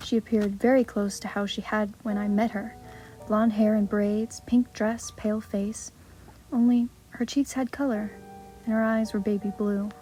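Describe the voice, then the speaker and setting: Over music in the background, a soft-spoken woman talks at a moderate pace with a fairly high pitch and monotone, flat intonation. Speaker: ASMR creator. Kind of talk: horror story reading.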